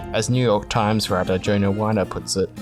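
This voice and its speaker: Music in the background behind a man at a very fast pace, with ordinary pitch variation. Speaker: video essayist. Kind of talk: video game analysis narration.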